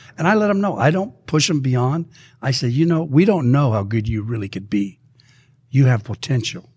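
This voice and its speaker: A somewhat breathy voice with very wide pitch swings. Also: man, medium pitch for a man, moderate pace. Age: 70s. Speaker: former swim coach turned business consultant. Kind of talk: interview.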